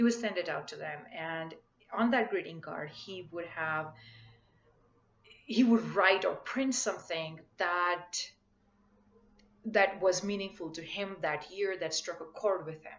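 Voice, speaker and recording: Speaking in a Marathi accent, a woman with a medium pitch and ordinary pitch variation goes at a fairly slow pace, with big swings in loudness and long, frequent pauses. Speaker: spiritual coach vlogger. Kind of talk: casual vlog talk. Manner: halting.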